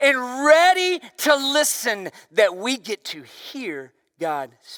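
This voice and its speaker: A man speaks in a raised, projected voice, his tone animated and bright and sharp. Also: dry, close sound with no echo. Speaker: pastor. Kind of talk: sermon.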